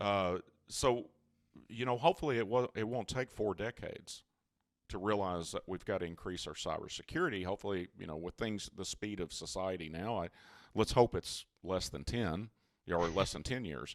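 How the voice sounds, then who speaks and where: A man talks at a moderate pace, his fairly low pitch varying in an ordinary way. The background is silent on a very clean recording. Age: 60s. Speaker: cybersecurity company CEO. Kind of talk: interview. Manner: halting.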